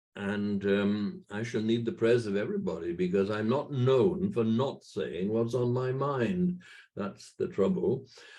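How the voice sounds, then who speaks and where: Speaking at a fairly slow pace with a Welsh accent, a man uses a medium pitch and a dark, mellow tone, with very wide pitch swings. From Wales. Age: 80s+. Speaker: church patron and minister. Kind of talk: talk to a virtual meeting. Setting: video call. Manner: halting.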